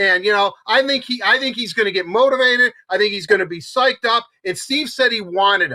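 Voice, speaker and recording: Raised and projected, a man's high-pitched voice moves at a fairly quick pace with hardly any pauses, an animated, bright, sharp tone and ordinary pitch variation. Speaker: hockey show co-host. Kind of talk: casual sports talk. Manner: fast.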